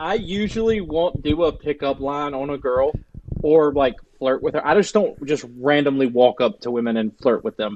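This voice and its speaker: A man speaks with a Southern US accent at a moderate pace. His intonation is lively. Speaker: dog trainer. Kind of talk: podcast guest interview answer. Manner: casual, conversational.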